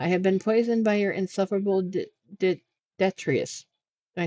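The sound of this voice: The background stays quiet. Intonation is fairly even in an unforced reading voice.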